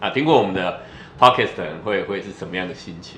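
Amid audible room echo and noticeable background noise, a man speaks with lively intonation in a fairly low voice. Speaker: podcast co-host, Taiwanese speaker. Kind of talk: casual bilingual chat.

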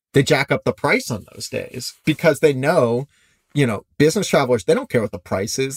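On a very clean recording with a silent background and a dry, close sound with no echo, a somewhat breathy man with a Midwestern American accent talks at a moderate pace and a fairly high pitch, with lively intonation. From US Midwest. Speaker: cheap flight deals founder. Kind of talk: interview.

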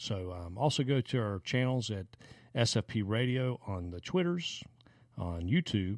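Here a man speaks at medium pitch with lively intonation. The recording is very clean, the background silent. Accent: Southern US. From South Carolina (Anderson). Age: 40s. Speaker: podcast co-host. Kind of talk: casual chat.

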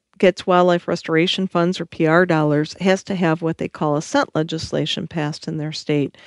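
In a Michigan accent, a woman talks at a fairly quick pace and fairly low pitch with ordinary pitch variation, the sound dry and close with no echo against a quiet background. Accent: Upper Midwest (Michigan) American. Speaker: conservation nonprofit CEO. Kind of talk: interview.

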